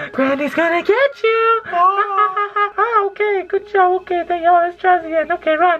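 A put-on, female-sounding character voice, squeaky and extremely high, moves at a moderate pace with long, frequent pauses over clear background noise. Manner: menacing, playful.

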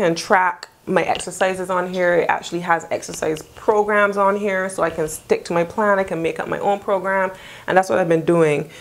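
A woman speaks at a moderate pace with fairly even intonation. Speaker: lifestyle vlogger. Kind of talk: casual vlog chat. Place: home room. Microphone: lapel.

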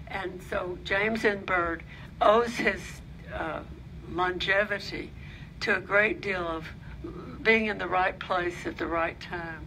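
With audible room echo and noticeable background noise, a woman speaks at a fairly slow pace in a medium pitch, using fairly even intonation and long, frequent pauses. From Alabama, Birmingham. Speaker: author and photography historian. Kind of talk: lecture. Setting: library lecture with audience.

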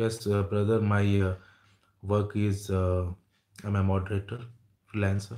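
With an Indian accent, a man speaks at a moderate pace in a fairly low, dark, mellow voice, monotone and flat in intonation with very even loudness, over a quiet background. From India, Jamshedpur. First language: Hindi. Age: 30s. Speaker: YouTuber. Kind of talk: livestream chat with viewers. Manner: halting. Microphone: earbuds.

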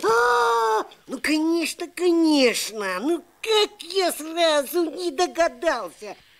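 A cartoonish character voice talks at a very slow pace. The recording is very clean, with a silent background. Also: man, extremely high pitch for a man. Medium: puppet.

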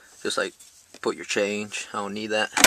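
A man talks with a fairly low pitch and a bright, sharp tone. The sound is dry with no echo, with light background noise. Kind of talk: casual vlog chat. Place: car. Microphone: phone near.

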